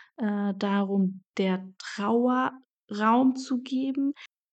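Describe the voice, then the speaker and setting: Against a quiet background, a woman speaks at a fairly high pitch with fairly even intonation. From Germany, Saarland. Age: 30s. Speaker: podcast host. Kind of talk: solo podcast monologue. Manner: hesitant, many filler sounds.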